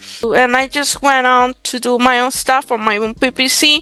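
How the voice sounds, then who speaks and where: The voice has a bright, sharp tone and a Spanish accent at a moderate pace. The sound is dry and close, with no echo. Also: woman. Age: 20s. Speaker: real estate wholesaler. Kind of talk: interview.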